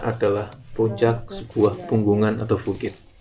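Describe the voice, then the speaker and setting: Against noticeable background noise, a man speaks at a medium pitch. His pace is very slow. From Java. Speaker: hiking vlogger. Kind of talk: vlog narration.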